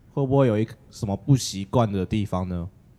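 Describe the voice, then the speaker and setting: A man with a Taiwanese accent speaks with lively intonation on a very clean recording with a silent background. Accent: Taiwanese Mandarin. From Taiwan, Kaohsiung. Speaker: student podcast host. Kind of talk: casual chat.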